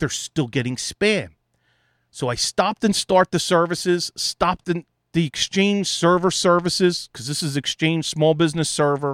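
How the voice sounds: In a very clean recording with a silent background and a dry, close sound with no echo, a man speaks at a fairly slow pace with a fairly high pitch, a fairly bright tone and ordinary pitch variation.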